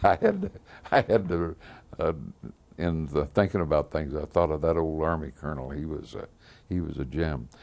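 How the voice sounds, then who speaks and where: Speaking in an American accent at a moderate pace, a man uses a very deep, low voice with vocal fry, fairly even intonation and long, frequent pauses. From US Midwest, Missouri (Lafayette County). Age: 80s+. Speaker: World War II veteran. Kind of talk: oral history interview. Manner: halting, many fillers.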